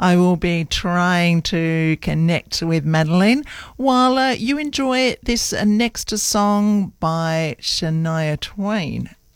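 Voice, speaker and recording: A woman with an Australian accent talks very slowly in a fairly low voice. Her intonation is lively. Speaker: radio host. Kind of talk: radio DJ patter. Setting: studio. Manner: chatty.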